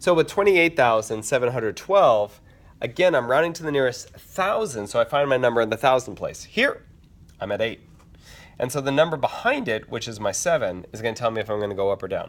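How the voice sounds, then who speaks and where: Speaking at a fairly quick pace, a man uses lively intonation at medium pitch. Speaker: teacher. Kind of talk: tutorial. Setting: empty classroom at night. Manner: fast.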